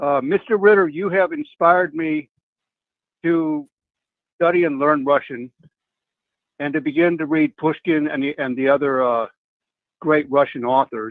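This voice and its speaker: Long, frequent pauses at a moderate pace, with ordinary pitch variation. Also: man, fairly high pitch for a man. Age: 60s. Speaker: caller. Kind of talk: call-in question. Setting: phone call.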